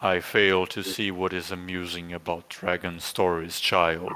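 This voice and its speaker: A man puts on a booming character voice with a very deep, low pitch. He keeps a monotone, flat intonation at a moderate pace. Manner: imperious, stern.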